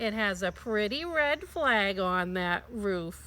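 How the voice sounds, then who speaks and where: Her pitch sits at a medium level in a put-on character voice. The woman delivers her lines fairly slowly. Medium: read story.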